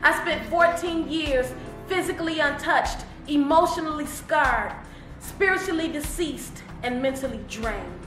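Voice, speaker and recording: A woman with an American accent speaks in a high voice at a moderate pace, with ordinary pitch variation. Music plays in the background. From Detroit, Michigan. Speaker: spoken word poet. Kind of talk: poetry reading. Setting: studio.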